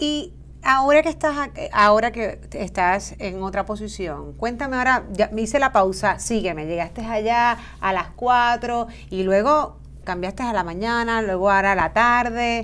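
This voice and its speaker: A woman's fairly high voice at a fairly slow pace, with ordinary pitch variation. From Puerto Rico. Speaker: podcast host, human resources; show host. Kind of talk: interview. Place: studio.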